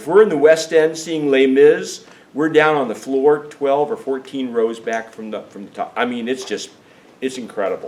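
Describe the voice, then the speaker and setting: A man's ordinary speaking voice, fairly high in pitch, at a moderate pace, with lively intonation and big swings in loudness. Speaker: travel tour organizer and teacher. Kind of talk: informational meeting presentation. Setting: meeting room with small audience, recorded on camera.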